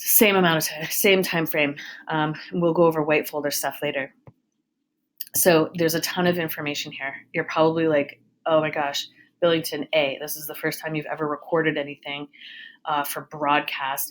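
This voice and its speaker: A woman speaks in an upbeat tone with a very deep, low pitch. Her loudness swings widely. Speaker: high school counselor. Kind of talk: recorded presentation to students. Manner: fast; casual, upbeat.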